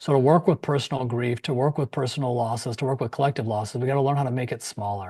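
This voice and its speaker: At a very fast pace, a man speaks at a medium pitch with ordinary pitch variation. His voice is somewhat breathy over a quiet background. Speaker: grief counselor and former acupuncturist. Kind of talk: interview on a live-streamed virtual summit. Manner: animated.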